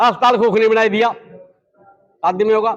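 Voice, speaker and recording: A man speaks with a bright, sharp tone. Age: 70s. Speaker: local party veteran at village meeting. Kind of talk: public speech at village meeting. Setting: village community meeting.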